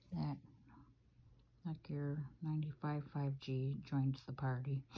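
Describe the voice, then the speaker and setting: Somewhat breathy and dark, mellow in tone, a woman speaks with a very deep, low pitch and fairly even intonation, leaving long, frequent pauses. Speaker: person documenting a Wi-Fi app. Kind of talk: casual self-recorded documentation talk. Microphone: phone near.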